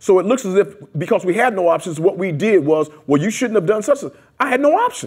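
A loud, animated man speaks at a high pitch and a fairly quick pace with lively intonation over a quiet background. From US Midwest (Detroit, Columbus). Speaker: community activist. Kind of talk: oral history interview. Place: meeting room.

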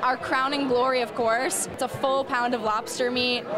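With music in the background, a woman uses a raised, projected voice at a moderate pace. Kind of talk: interview answer. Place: cafe. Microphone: handheld.

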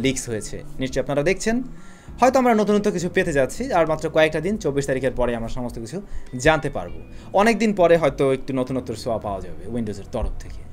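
A man with a fairly high-pitched voice, light background noise behind him. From Bangladesh. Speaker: tech YouTuber. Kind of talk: tech news vlog. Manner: casual and lively. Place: home room.

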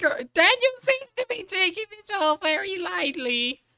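The pace stays moderate in this put-on character voice, pitched extremely high. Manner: mock-serious, exaggerated.

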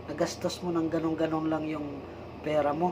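A man at a fairly quick pace, with noticeable background noise around him. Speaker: vlogger, church worker. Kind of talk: personal vlog monologue. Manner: halting, with fillers.

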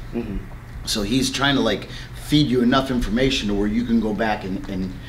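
A man talks over light background noise. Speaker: martial arts instructor. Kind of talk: interview answer. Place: gym.

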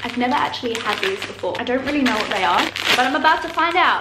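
A woman speaks in a high voice. There is audible room echo and light background noise. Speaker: vlogger. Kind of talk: casual vlog chat, taste test. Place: home room.

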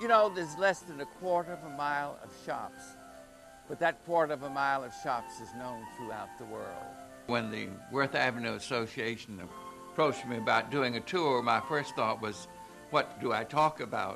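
A man speaks at a moderate pace and medium pitch, with lively intonation and big swings in loudness. Clear music plays in the background. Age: 80s+. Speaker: historian and storyteller. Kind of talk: tour host narration. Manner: casual, anecdotal, hesitant. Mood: warm, reminiscing. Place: studio.

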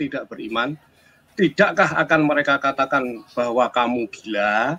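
A man with a plain, everyday voice, lively intonation and a fairly slow pace. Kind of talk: casual discussion. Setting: video call.

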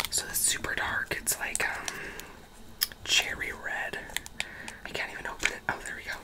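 Whispering, a woman goes at a moderate pace. She leaves long, frequent pauses. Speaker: ASMR creator. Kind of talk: ASMR makeup collection showing, casual talk to camera. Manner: casual, chatty, whispery ASMR delivery. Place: home room.

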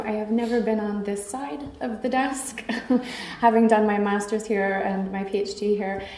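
A woman talks with ordinary pitch variation. Audible room echo surrounds her voice. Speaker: conference speaker. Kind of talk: conference talk. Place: hall. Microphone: podium.

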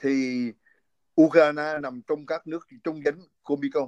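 The man talks at a very slow pace. Behind him the background is quiet. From central Vietnam, Quảng Bình; central Vietnam. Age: 60s. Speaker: physician and political commentator; political commentator. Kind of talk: interview. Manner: halting. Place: home room. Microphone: phone near.

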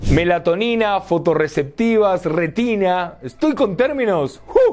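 A man's animated, playful voice, fairly slow in pace, with lively intonation. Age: 30s. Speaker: gaming and tech youtuber; tech youtuber. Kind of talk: casual video monologue with product review. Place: home room.

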